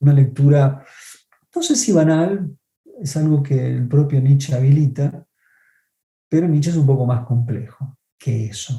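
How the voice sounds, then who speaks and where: With music in the background, a man speaks at a fairly high pitch and fairly slow pace. His intonation is fairly even, broken by long, frequent pauses. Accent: Argentine. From Argentina. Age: 50s. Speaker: film critic. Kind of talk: lecture on film theory.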